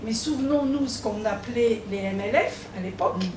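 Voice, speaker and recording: In a room with audible echo and noticeable background noise, a woman speaks at a fairly slow pace with a fairly high pitch and lively intonation. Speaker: political activist. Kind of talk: public debate. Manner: hesitant, many fillers.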